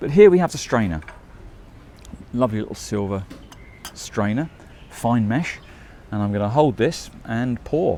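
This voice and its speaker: Using lively intonation, a man with a British accent speaks at a moderate pace with long, frequent pauses. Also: medium pitch for a man. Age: 60s. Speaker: travel vlogger. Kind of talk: casual vlog commentary. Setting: tea shop.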